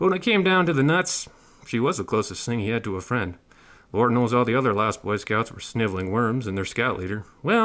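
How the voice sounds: A natural reading voice is heard in the clip.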